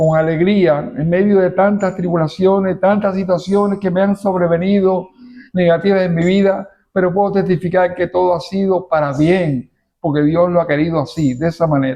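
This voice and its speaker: A man's high-pitched voice, dark and mellow in tone, at a moderate pace with very even loudness. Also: fairly even intonation. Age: 70s. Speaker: pastor. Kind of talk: testimony. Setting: church.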